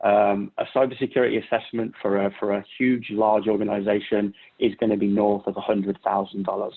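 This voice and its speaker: Someone with a British accent talks at a fairly quick pace, keeping the intonation fairly even. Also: man. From Britain. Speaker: cybersecurity consultant. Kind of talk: Q&A session answers. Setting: virtual workshop video call. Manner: halting, many repetitions and fillers.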